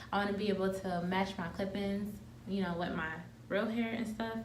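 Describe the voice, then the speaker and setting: A soft-spoken woman's medium-pitched, monotone, flat delivery at a moderate pace, amid noticeable background noise and audible room echo. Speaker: beauty vlogger. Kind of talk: tutorial.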